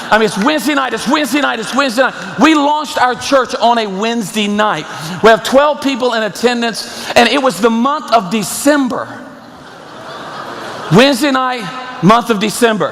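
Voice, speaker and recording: In a room with audible echo and noticeable background noise, a man talks at a moderate pace in an extremely high voice. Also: ordinary pitch variation. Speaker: pastor. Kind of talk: sermon.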